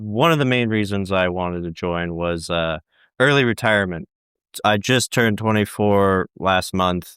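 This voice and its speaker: This man has an unremarkable speaking voice, fairly low in pitch with ordinary pitch variation, and he talks at a moderate pace. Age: 20s. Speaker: navy cook. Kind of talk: interview.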